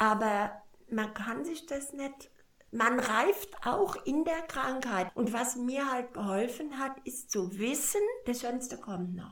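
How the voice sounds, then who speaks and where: A woman with a high pitch uses lively intonation at a very slow pace. Noticeable background noise and audible room echo come through. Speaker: cancer patient. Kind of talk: interview. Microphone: poor recording quality.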